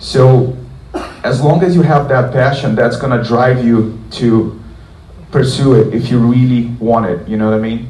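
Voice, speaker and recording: A man with a Portuguese accent at a fairly slow pace, amid noticeable background noise and audible room echo. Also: medium pitch for a man, ordinary pitch variation. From southern Brazil. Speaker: guitarist. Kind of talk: guitar clinic Q&A talk. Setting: concert hall with audience. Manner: casual, many fillers.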